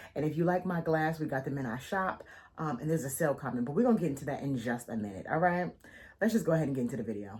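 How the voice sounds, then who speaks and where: A woman's very deep, low, somewhat breathy voice, very fast, with an animated tone and lively intonation. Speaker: faith journaling content creator. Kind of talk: casual vlog life update.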